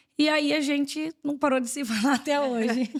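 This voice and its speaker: A woman talks at a moderate speed with ordinary pitch variation, on a very clean recording with a silent background. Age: 30s. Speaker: mother and family photographer. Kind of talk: casual interview.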